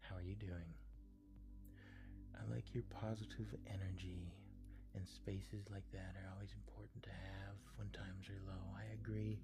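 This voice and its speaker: Soft-spoken speech at a moderate pace, broken by long, frequent pauses, plays over music in the background. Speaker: live streamer. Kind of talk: casual live-stream chat with viewers.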